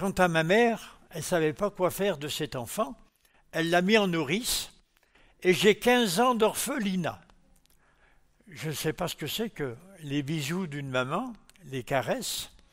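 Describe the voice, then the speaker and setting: A man's high voice at a fairly slow pace, lively in intonation, with long, frequent pauses, on a very clean recording with a silent background. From France, Lyon. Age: 80s+. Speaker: church testimony speaker. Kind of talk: testimony.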